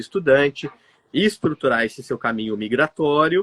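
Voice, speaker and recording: A man talks in an unremarkable speaking voice, fairly high in pitch. He moves at a fairly quick pace with lively intonation. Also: dry, close sound with no echo. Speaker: migration consultancy director. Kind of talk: live stream conversation. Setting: live stream with remote guest.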